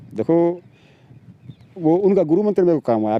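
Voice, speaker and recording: The speaker is a man with a high pitch. His voice makes very wide pitch swings. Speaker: sculptor and artist. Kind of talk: interview answer.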